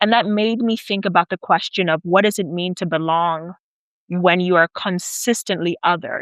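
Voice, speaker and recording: A woman with an American accent speaks in an ordinary speaking voice at medium pitch and a moderate pace, her intonation fairly even, the sound dry and close with no echo over a quiet background. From South Africa (Nigerian parents, US-born). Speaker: PhD student and researcher. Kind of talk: interview. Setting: away from usual studio.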